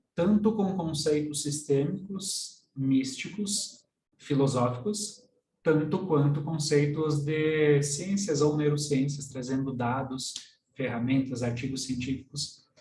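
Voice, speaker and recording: Speaking at a very slow pace, a man with a fairly high pitch and a dark, mellow, somewhat breathy tone shows ordinary pitch variation, with audible room echo around him. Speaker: systemic constellation coach. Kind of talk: online workshop lecture. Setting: live stream.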